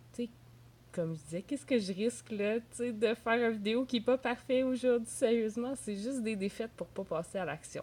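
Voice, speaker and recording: Speaking in a Quebec accent, a woman with a fairly high voice moves at a fairly quick pace with ordinary pitch variation. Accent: Québécois French. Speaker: entrepreneur and video blogger. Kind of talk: casual vlog monologue. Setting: at home in a bathrobe.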